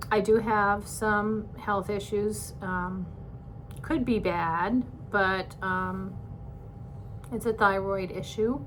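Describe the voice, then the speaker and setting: Speaking very slowly with long, frequent pauses, a woman uses a medium pitch and fairly even intonation. She has an American accent, and room echo is audible. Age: 60s. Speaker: retiring teacher, vlogger. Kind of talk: personal vlog monologue. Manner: hesitant, many filler words.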